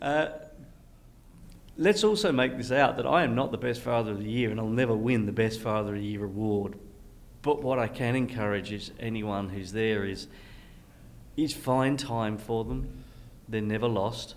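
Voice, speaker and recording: Speech at a moderate pace with ordinary pitch variation and an Australian accent, broken by long, frequent pauses. Audible room echo surrounds the voice. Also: man, medium pitch for a man. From Western Australia (Perth). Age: 60s. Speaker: entrepreneur. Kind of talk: casual conversation.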